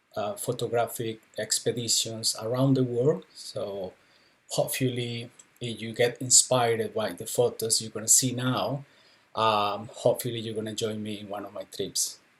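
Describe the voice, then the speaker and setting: A man with a Colombian accent, medium-pitched and somewhat breathy, at a moderate pace with fairly even intonation and big swings in loudness. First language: Spanish. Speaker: travel and documentary photographer. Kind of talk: live online talk with slides. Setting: Facebook live stream. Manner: hesitant, many fillers.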